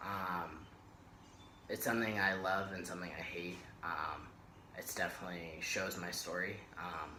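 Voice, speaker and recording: A man speaks with a very deep, low pitch in a flat monotone, leaving long, frequent pauses. Audible room echo surrounds the voice. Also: moderate pace. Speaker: vlogger. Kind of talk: personal vlog. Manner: hesitant, many fillers.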